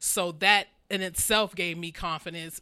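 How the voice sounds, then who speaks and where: On a very clean recording with a silent background, a woman with an American accent speaks at fairly low pitch in a bright, sharp tone with monotone, flat intonation. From Ohio, Cleveland area. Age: 40s. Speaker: fashion show model. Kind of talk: casual chat.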